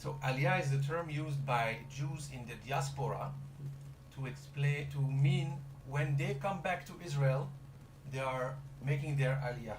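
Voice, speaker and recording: Fairly slow delivery with long, frequent pauses, noticeable background noise and audible room echo. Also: man, fairly high pitch for a man, fairly even intonation. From DR Congo. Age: 30s. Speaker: startup representative. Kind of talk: radio interview. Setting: studio.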